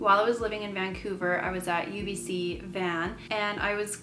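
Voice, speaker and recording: Audible room echo and noticeable background noise fill the clip. A woman talks through them. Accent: Canadian. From Canada, British Columbia. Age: 30s. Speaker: vlogger and ultrasound technician. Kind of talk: casual personal vlog.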